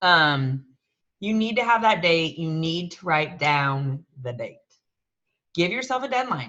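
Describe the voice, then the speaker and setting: The voice swings very widely in pitch and has a bright, sharp tone. It moves at a moderate pace. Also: woman. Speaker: business coach leading a group call. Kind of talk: coaching workshop. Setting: video call.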